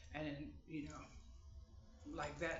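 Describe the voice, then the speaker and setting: A man is speaking. There is audible room echo. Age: 50s. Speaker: vlogger. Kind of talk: casual chat. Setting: at home, sitting on bed. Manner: halting.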